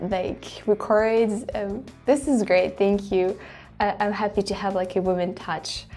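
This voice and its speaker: A woman speaks with a French accent at a fairly high pitch. Her pace is fairly slow, with music in the background. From France. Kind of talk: casual talk to camera.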